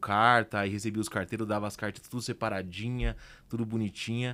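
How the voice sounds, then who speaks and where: A man's fairly low, monotone, flat voice at a moderate pace, in a very clean recording with a silent background. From Brazil, working-class outskirts. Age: 30s. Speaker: entrepreneur. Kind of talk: podcast interview.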